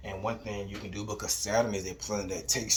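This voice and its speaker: Noticeable background noise sits behind a man with a fairly low voice. He speaks at a fairly quick pace. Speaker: astrology and manifestation youtuber. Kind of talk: tutorial. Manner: casual with fillers.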